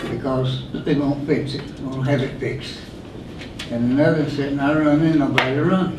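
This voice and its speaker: A man with an Appalachian accent talks at a moderate pace in a fairly high pitch with fairly even intonation. Audible room echo and noticeable background noise surround him. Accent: Appalachian Southern US. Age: 80s+. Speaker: rescue squad volunteer. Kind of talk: public comment at a meeting. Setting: county board meeting.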